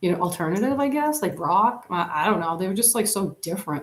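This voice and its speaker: A somewhat breathy woman's voice, fairly low in pitch, with ordinary pitch variation. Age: 40s. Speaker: YouTuber live streamer. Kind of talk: casual chat. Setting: live stream on camera. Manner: rambling, filler-heavy.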